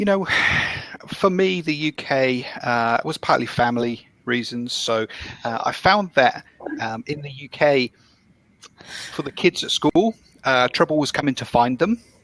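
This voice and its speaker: With a British accent, a man talks at medium pitch with lively intonation. The sound is dry and close, with no echo. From UK. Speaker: business analyst, immigrant. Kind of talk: casual chat. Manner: hesitant, many fillers.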